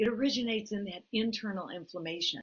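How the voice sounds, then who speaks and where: This woman has a plain, everyday voice with fairly high pitch. She talks at a moderate pace with ordinary pitch variation. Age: 60s. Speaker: health practitioner co-host. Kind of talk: casual chat.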